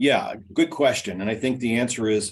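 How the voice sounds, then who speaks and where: Medium pitch marks this man's speech. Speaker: employment attorney. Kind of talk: webinar presentation and Q&A. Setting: online webinar. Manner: fast.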